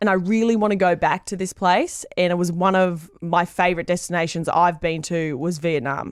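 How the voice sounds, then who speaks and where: On a very clean recording with a silent background, a woman with an Australian accent speaks in an enthusiastic tone at a medium pitch. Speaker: radio host. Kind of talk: interview answer.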